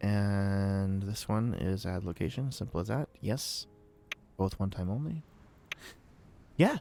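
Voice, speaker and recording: In a dark, mellow tone and fairly low pitch, a man speaks at a very slow pace with ordinary pitch variation and long, frequent pauses. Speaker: streamer building game maps. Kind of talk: live game stream commentary. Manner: thinking aloud, halting.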